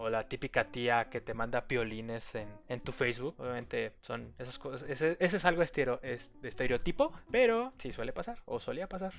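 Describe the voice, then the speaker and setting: A man at a moderate pace, with hardly any pauses. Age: 20s. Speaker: podcast host. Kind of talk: casual solo monologue.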